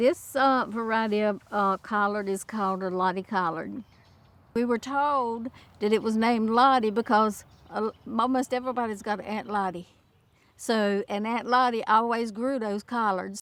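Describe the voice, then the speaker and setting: Speaking at a moderate pace, a woman has an American accent. Her pitch is fairly high, and her intonation is fairly even. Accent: North Carolina Lumbee English. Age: 60s. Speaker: farmer. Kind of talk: casual explanation. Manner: halting.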